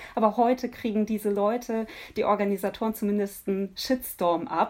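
Moderate pace and ordinary pitch variation from a woman, her voice medium in pitch. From Nuremberg, Franconia, Germany. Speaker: singer-songwriter. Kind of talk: interview. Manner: hesitant, many fillers.

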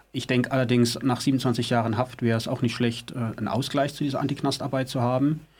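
The words come at a fairly quick pace with hardly any pauses, in a monotone, flat intonation. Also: man, medium pitch for a man. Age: 50s. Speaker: former prisoner, activist. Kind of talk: studio interview. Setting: studio.

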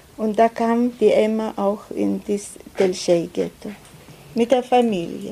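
A woman speaks at a very slow pace. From Lithuania. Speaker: Holocaust survivor and interpreter. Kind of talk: consecutive interpreting of testimony. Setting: school auditorium with audience. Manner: halting.

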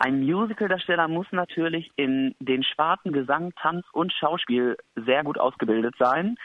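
With a plain, everyday voice, a man speaks at a fairly slow pace in a fairly high pitch, with lively intonation and hardly any pauses. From rural Germany. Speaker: musical performer. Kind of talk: interview. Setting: phone call.

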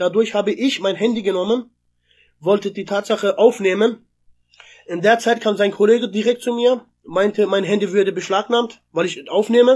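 Here a man with a high pitch speaks at a moderate pace with fairly even intonation. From southwestern Germany (Freiburg). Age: 20s. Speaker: eyewitness to a police incident. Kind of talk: personal testimony. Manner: halting, many hesitations.

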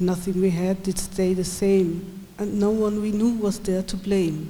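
With monotone, flat intonation, the voice moves at a very slow pace amid audible room echo. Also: woman. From Swabia, southern Germany. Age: 40s. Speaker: poet and event host. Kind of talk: poetry reading event, introduction and reading aloud. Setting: live reading in a school hall with audience.

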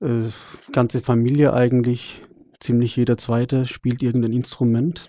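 A man at a medium pitch, moderate in pace, with a monotone, flat intonation. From Germany, Freiburg. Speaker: singer and jazz guitarist. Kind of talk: interview.

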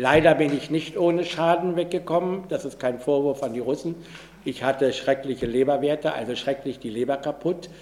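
In a normal speaking voice, someone talks with fairly even intonation and a moderate pace. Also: man. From Pommern, Germany. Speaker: Holocaust survivor. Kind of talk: public talk.

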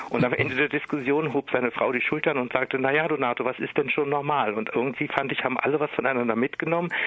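Over noticeable background noise, a man with a Berlin accent talks very fast with hardly any pauses, his pitch fairly high, his intonation fairly even, and his loudness very even. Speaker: singer and cabaret artist. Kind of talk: interview. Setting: phone call.

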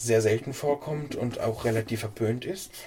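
At a fairly slow pace, a man talks in a medium pitch with fairly even intonation. His voice is somewhat breathy, with a dark, mellow tone. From Hesse, Germany. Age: 20s. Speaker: church council member. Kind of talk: interview.

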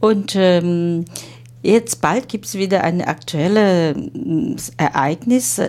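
A woman with a Chinese accent, fairly low in pitch, with very wide pitch swings and a very slow pace. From China. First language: Chinese (speaking German). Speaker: interviewer. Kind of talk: interview. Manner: halting.

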